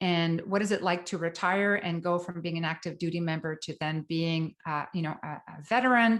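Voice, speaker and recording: A woman with a French Canadian accent speaks at a fairly low pitch with fairly even intonation. The recording is very clean, with a silent background. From Quebec, northern. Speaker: psychotherapist, trauma specialist. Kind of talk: lecture. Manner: fast.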